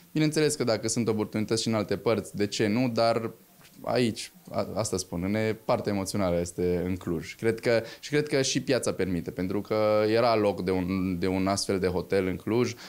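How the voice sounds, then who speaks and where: This man talks at a moderate pace with a fairly low pitch. His pitch moves in an ordinary way. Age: 20s. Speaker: hotel owner and sports event organizer. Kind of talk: interview. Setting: hotel. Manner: halting. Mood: calm, proud. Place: office. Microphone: handheld.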